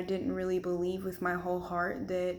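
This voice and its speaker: A woman's medium-pitched voice moves at a moderate pace through audible room echo. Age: 20s. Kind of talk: testimony.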